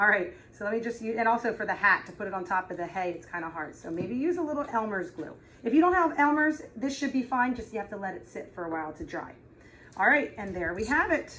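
Against light background noise, a woman talks very fast in a bright, sharp tone, with very wide pitch swings and big swings in loudness. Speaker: preschool teacher. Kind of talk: craft tutorial for young children. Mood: warm, gently playful. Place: classroom. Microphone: camera far.

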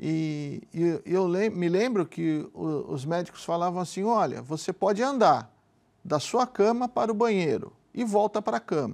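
Against a quiet background, a man with a high voice speaks very slowly using lively intonation. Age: 50s. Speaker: businessman giving religious testimony. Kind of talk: testimony. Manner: halting. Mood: somber, reflective about illness. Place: studio. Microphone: lapel.

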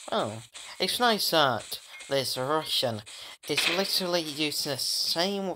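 Against noticeable background noise, a man speaks at a very slow pace. His fairly high voice has very wide pitch swings. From Yorkshire, northern England. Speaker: gaming YouTuber. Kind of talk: gameplay commentary. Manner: animated.

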